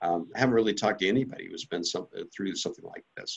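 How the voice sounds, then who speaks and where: An unremarkable speaking voice from a man, with lively intonation. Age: 60s. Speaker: company CEO. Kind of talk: interview.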